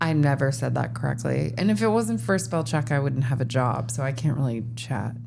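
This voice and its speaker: Hardly pausing, a speaker with an American accent moves at a fairly quick pace with ordinary pitch variation and audible room echo. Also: woman, very deep, low pitch for a woman, very even loudness. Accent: slight Minnesota-like. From US, not Minnesota. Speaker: podcast co-host. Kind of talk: casual chat.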